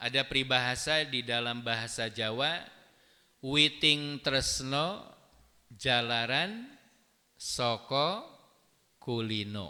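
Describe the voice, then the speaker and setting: A man with a bright, sharp tone and medium pitch speaks at a very slow pace with ordinary pitch variation and long, frequent pauses, recorded very cleanly over a silent background. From West Java (Sundanese). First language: Sundanese (speaking Indonesian). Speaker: Islamic preacher. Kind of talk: religious lecture. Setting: mosque.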